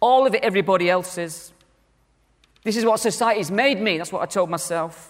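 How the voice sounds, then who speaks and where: Speaking with a northern English accent, a man uses a high pitch, ordinary pitch variation and an animated tone at a fairly quick pace, broken by long, frequent pauses. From northern England. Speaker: conference speaker, church minister. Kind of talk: conference talk.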